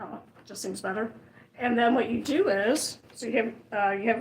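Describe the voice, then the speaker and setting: A woman talks with an Ohio accent at a moderate pace. Her pitch sits fairly high. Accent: Ohio, Midwestern. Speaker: sewing tutorial presenter. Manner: casual, halting.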